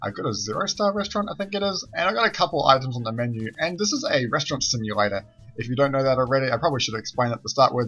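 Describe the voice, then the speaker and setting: Over music in the background, a man with a New Zealand accent talks at a very fast pace with hardly any pauses, his medium pitch making very wide swings. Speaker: gaming youtuber. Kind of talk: let's play commentary. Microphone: poor quality mic.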